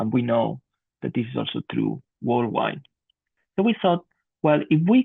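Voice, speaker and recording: A man speaks with a Barcelona accent. His pace is moderate. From Spain, Barcelona. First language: Spanish or Catalan. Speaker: physician researcher. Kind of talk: conference presentation.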